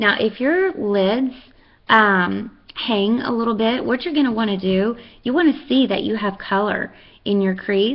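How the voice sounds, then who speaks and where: A woman with a Texan accent, fairly high in pitch, with lively intonation and a fairly slow pace. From Texas. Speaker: makeup seller and fitness instructor. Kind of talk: makeup tutorial. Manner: casual, chatty with many fillers.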